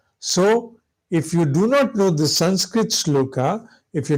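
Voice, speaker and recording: On a very clean recording with a silent background, a man speaks at a fairly slow pace with lively intonation and a somewhat breathy voice. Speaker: spiritual teacher. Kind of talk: lecture.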